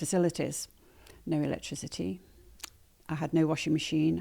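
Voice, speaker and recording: A woman speaks with a slight northern English accent and a very deep, low pitch. The recording is very clean with a silent background. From northern England, Manchester. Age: 60s. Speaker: nettle weaver and sustainability advocate. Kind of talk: podcast interview. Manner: hesitant, many fillers.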